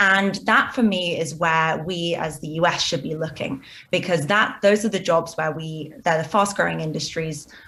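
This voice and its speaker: The voice has a bright, sharp tone and a British accent. It moves at a moderate pace with ordinary pitch variation. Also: woman. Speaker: business executive. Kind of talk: TV interview.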